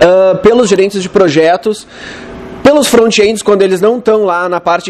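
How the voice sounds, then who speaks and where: Over noticeable background noise, a man with a southern Brazilian accent talks at a fairly quick pace in a high voice with ordinary pitch variation. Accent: southern Brazilian (gaúcho). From Rio Grande do Sul, Porto Alegre. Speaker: web developer, conference speaker. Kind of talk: conference talk. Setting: stage with audience. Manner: casual, conversational.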